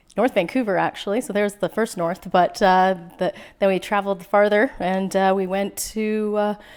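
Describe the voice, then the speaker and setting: At a moderate pace and medium pitch, a woman speaks with a western Canadian accent and fairly even intonation. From western Canada, Prince George BC. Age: 40s. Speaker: small-town mayor. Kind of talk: podcast interview.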